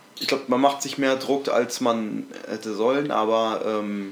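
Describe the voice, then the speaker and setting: A normal speaking voice from a man, medium in pitch, at a moderate pace with ordinary pitch variation. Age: 20s. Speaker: podcast co-host, school student. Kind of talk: casual chat.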